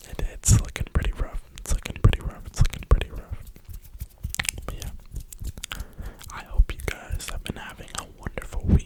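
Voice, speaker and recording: Someone whispers at a moderate pace with an American accent. Noticeable background noise runs underneath. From New York (Brooklyn). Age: 20s. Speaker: ASMR creator. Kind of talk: whisper ramble. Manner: whispering.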